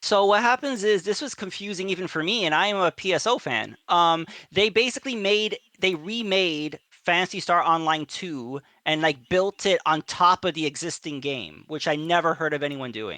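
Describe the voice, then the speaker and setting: Someone speaks at a moderate pace in a New York accent. The recording is very clean, with a silent background. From New York City area. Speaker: gamer streamer. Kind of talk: casual chat.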